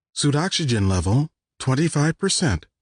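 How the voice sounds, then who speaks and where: A man puts on a character voice at a fairly high pitch. He talks at a moderate pace over a quiet background. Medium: read story. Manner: cheerful, intoning.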